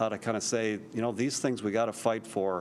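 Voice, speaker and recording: A man speaks at a medium pitch. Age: 60s. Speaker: state politician. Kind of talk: town hall remarks to constituents. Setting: city council chambers, public meeting. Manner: halting, many restarts.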